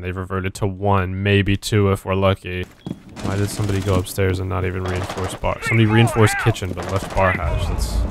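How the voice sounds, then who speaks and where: Through noticeable background noise, a man with a fairly low pitch speaks fairly quickly in a monotone, flat intonation. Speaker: gaming YouTuber. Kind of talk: gameplay commentary.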